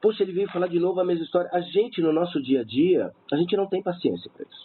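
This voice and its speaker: This man has a high pitch and talks at a very fast pace. His loudness swings a lot. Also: ordinary pitch variation. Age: 50s. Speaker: suicide-prevention helpline volunteer. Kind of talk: radio interview.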